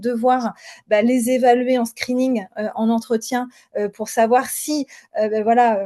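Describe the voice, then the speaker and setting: A woman's high-pitched voice, dark and mellow, with fairly even intonation. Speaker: former HR director and founder. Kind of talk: webinar interview. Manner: halting, many fillers.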